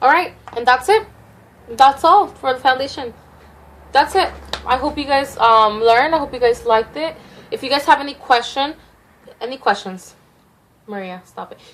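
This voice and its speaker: Against noticeable background noise, a woman with a high voice speaks with lively intonation, big swings in loudness, and long, frequent pauses. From Mexico. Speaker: beauty vlogger. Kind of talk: makeup tutorial. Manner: fast, words tumbling out.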